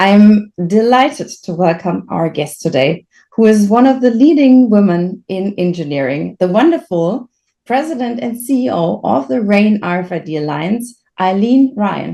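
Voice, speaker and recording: Speaking fairly slowly with a German accent, a woman uses a dark, mellow tone at a medium pitch that swings very widely. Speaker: podcast host, consultancy founder. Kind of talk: podcast interview.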